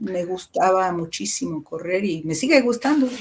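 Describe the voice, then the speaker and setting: With ordinary variation in her pitch, a woman talks in a medium register. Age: 60s. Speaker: musician and teacher. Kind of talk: interview conversation.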